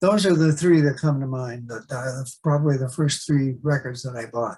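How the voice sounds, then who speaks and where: A somewhat breathy man with a Canadian accent, medium pitch, ordinary pitch variation, a dark, mellow tone and a moderate pace. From Canada. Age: 70s. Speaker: jazz guitarist. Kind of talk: interview.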